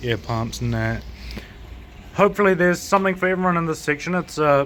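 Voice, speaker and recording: Talking at a very fast pace, a man with a New Zealand accent speaks at a fairly high pitch. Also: ordinary pitch variation. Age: 20s. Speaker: aquarium shop owner and fishkeeping YouTuber. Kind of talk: casual video tour. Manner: animated.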